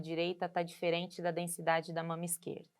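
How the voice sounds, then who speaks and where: On a very clean recording with a silent background, a woman is heard speaking. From Manaus, Brazil; long years in São Paulo interior. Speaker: cardiologist, breast cancer survivor. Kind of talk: personal testimony in interview.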